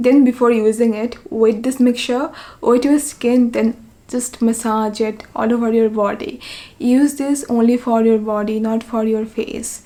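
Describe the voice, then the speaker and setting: There is noticeable background noise behind a woman's voice. Her pitch sits fairly high, with fairly even intonation. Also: moderate pace. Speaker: beauty vlogger. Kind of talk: tutorial.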